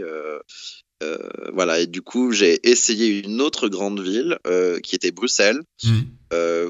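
At a very slow pace, a man speaks with a fairly low pitch. His pitch variation is ordinary. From France. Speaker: French expatriate in London. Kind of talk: interview conversation.

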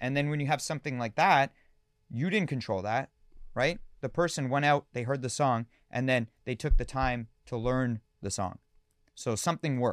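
In a normal speaking voice with a Canadian accent, a man talks at a medium pitch and a moderate pace with ordinary pitch variation. The sound is dry and close with no echo, on a very clean recording with a silent background. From Canada, London, Ontario. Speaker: DJ and music producer. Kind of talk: casual interview.

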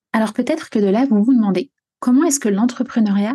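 The woman's tone is dark and mellow, and somewhat breathy. Her pitch varies in an ordinary way, and the background is quiet. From France, Normandy. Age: 20s. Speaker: podcast host and coach. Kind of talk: personal storytelling monologue.

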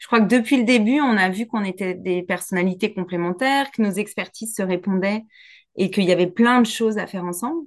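Against a quiet background, a woman talks fairly quickly in a plain, everyday voice at medium pitch, with ordinary pitch variation. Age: 40s. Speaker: business coach. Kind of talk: casual interview chat.

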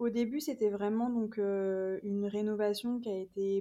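Very slowly, a woman speaks with a dark, mellow tone, a fairly high pitch and fairly even intonation. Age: 30s. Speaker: home renovator and holiday rental owner. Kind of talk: casual interview. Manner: hesitant, many fillers.

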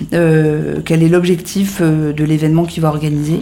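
Through noticeable background noise, a woman speaks in a very deep, low pitch with monotone, flat intonation. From northern France (Hauts-de-France, near Lille). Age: 30s. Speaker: entrepreneur. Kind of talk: interview. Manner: hesitant, many fillers and repetitions.

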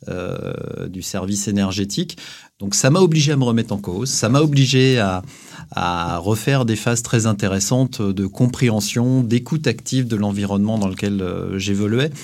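A man with a fairly low pitch and ordinary pitch variation speaks at a moderate pace. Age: 40s. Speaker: company chief executive. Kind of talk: interview. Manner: halting.

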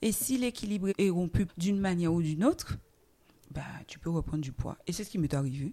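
A woman speaks in an animated tone, her pitch swinging very widely. Her voice is somewhat breathy. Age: 40s. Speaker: guest sharing her obesity journey. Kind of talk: testimony. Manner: animated, laughing.

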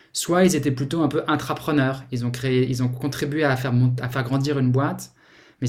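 A man with a fairly high pitch keeps a moderate pace and fairly even intonation. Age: 40s. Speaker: startup founder and CEO. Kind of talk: interview. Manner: halting, many repetitions and fillers.

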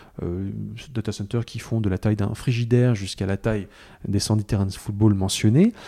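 At a moderate pace, a man speaks in a fairly low pitch with a dark, mellow tone and fairly even intonation. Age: 40s. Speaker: journalist and author. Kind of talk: interview. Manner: hesitant, many filler sounds.

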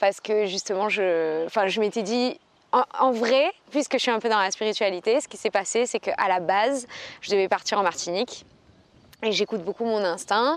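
Over a quiet background, a woman with a normal speaking voice talks at a moderate pace and fairly high pitch, with ordinary pitch variation. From Aix-en-Provence, southern France. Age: 20s. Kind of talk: casual chat.

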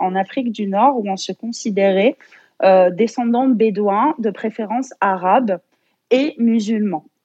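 In a normal speaking voice, a woman talks at a fairly slow pace with a fairly high pitch and ordinary pitch variation, the sound dry and close with no echo. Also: quiet background. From France and Algeria. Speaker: therapist, traditional medicine practitioner. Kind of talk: casual interview.

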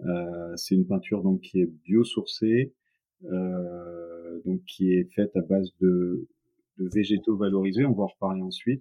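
Fairly level intonation carries this fairly slow speech. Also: man, very deep, low pitch for a man. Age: 40s. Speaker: paint company founder and painter. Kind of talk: interview. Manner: halting, many repetitions.

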